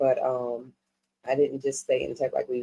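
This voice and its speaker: A woman speaks with a New York accent. Her pace is moderate. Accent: New York accent, noticeable on certain words. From New York City, Harlem and South Bronx. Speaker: music management executive. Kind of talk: casual interview chat.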